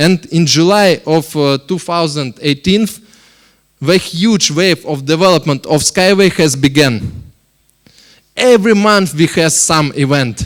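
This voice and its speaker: A man with a Russian accent, fairly high-pitched, at a fairly slow pace with long, frequent pauses. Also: ordinary pitch variation. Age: 30s. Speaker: company board member. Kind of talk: investment presentation. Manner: halting.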